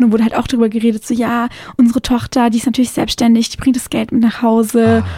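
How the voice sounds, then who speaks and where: A woman's very fast, fairly high voice with a dark, mellow tone and monotone, flat intonation. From southern Germany, Konstanz on Lake Constance. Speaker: journalist and blogger. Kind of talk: radio interview. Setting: radio studio.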